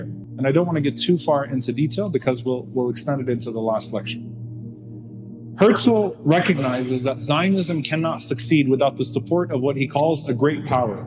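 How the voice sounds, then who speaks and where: A man talks at a moderate pace and medium pitch, his pitch varying in an ordinary way, with music playing behind him. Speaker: Islamic lecturer. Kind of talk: Islamic lecture on political history.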